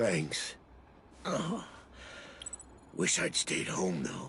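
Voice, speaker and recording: A raspy, put-on character voice from a man, with clear background noise. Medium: video game.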